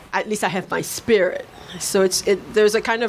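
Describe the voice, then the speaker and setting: At a fairly quick pace and with fairly even intonation, a woman talks while noticeable background noise plays. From Haiti, raised in Brooklyn. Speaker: writer. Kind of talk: panel discussion at a book launch. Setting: bookshop event with audience.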